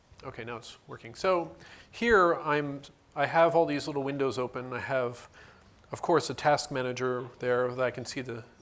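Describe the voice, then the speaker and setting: Here a man with an unremarkable speaking voice talks at a fairly high pitch and a moderate pace, his loudness swinging widely. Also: ordinary pitch variation. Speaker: conference presenter. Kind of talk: technical presentation.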